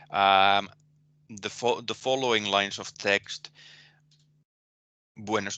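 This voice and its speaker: In a Finnish accent, the speaker talks at a fairly slow pace with a monotone, flat delivery and a bright, sharp tone, on a quiet background with a dry, close sound and no echo. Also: man. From Finland. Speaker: university lecturer. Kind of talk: lecture. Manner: halting, many fillers and repetitions.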